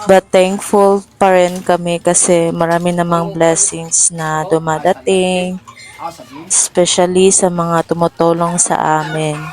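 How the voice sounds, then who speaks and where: Against noticeable background noise, a woman with a Visayan accent speaks very slowly in a fairly low pitch with monotone, flat intonation. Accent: Bisaya accent in Tagalog. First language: Cebuano (Bisaya) (speaking Tagalog). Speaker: vlogger. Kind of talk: casual vlog voice-over.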